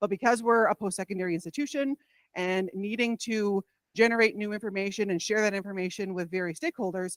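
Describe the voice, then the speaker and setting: A woman talks very fast at a medium pitch, her pitch varying in an ordinary way. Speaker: college research vice president. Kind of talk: conference presentation.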